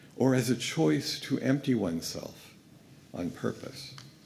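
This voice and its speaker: There is audible room echo as a man speaks at a fairly slow pace with lively intonation. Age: 60s. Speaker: guest minister. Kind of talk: sermon. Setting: church pulpit.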